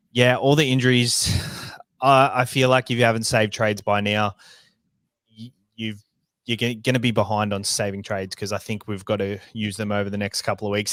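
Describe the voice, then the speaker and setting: Speaking at a very fast pace with a New Zealand accent, a man is heard in a very clean recording with a silent background. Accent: Kiwi. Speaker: fantasy sports podcast co-host. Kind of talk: casual chat.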